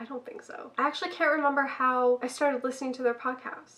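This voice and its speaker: A woman with a high pitch and a bright, sharp tone uses a raised, projected voice. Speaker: booktuber. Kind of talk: casual talk to camera.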